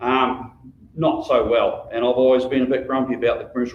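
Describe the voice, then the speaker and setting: With a New Zealand accent, a man speaks at a very fast pace. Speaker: local councillor and election candidate. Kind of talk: public speech at candidates forum.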